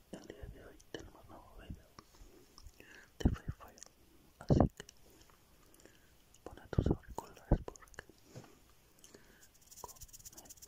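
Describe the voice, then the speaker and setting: The voice whispers in a relaxed tone at a very slow pace, with long, frequent pauses. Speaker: gaming ASMR creator. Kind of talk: ASMR gameplay commentary to camera. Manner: soft, relaxed chatter. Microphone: studio mic.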